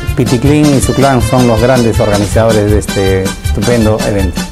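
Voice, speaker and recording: A man talks at a moderate pace. Behind him, clear music plays. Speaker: consular official. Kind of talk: promotional event invitation spot. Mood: friendly, official. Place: office.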